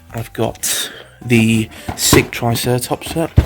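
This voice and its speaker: Noticeable background noise sits behind a soft-spoken man talking at medium pitch. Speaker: vlogger and film channel host. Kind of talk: casual vlog narration. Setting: indoors in holiday home living room. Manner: quiet, speaking softly.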